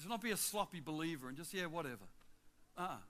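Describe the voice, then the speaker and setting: With an Australian accent, a man speaks in a high pitch and a bright, sharp tone. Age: 60s. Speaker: travelling preacher. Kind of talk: sermon. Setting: church with congregation. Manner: animated.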